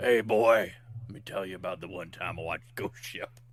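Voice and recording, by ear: A put-on character voice at a fairly quick pace. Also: man, medium pitch for a man.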